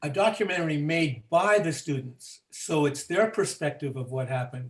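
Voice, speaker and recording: This man has a fairly high, somewhat breathy voice with lively intonation at a moderate pace. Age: 80s+. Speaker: teacher who ran the original experiment. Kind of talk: group discussion.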